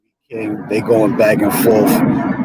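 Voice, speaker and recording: A man speaks in a New York accent. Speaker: YouTube interviewer. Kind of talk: interview.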